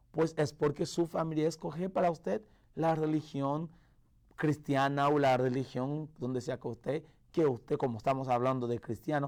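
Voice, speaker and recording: A man at a moderate pace, fairly high in pitch with ordinary pitch variation, on a very clean recording with a silent background. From Haiti. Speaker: pastor. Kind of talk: radio sermon. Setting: radio broadcast. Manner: halting, with self-corrections.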